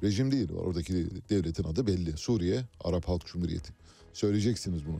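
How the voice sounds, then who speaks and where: At a fairly quick pace, a man talks in a very deep, low voice with a dark, mellow tone and ordinary pitch variation. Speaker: radio host. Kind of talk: radio show hosting. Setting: studio.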